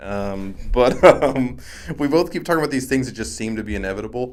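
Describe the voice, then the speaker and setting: With vocal fry and very wide pitch swings, a man speaks at a fairly quick pace and a medium pitch. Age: 30s. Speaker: sports podcast co-host. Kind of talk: casual sports chat.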